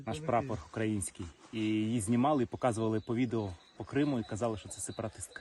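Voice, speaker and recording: With a dark, mellow tone, a man speaks at a fairly quick pace in a medium pitch with ordinary pitch variation. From Crimea, Sevastopol. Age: 30s. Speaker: soldier. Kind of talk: interview. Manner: halting.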